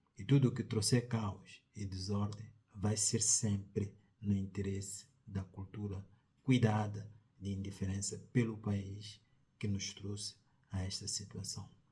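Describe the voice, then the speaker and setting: A man with a Mozambican accent talks fairly slowly in a fairly low, dark, mellow voice that is somewhat breathy and monotone, with flat intonation. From Mozambique. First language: Tsonga (speaking Portuguese). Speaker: sociologist, commentator. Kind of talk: opinion commentary. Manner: formal.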